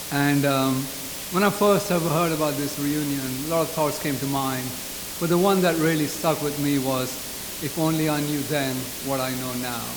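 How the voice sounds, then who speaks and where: A man's fairly high voice amid audible room echo and noticeable background noise. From England. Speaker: speaker at a community reunion. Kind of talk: speech. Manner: fast.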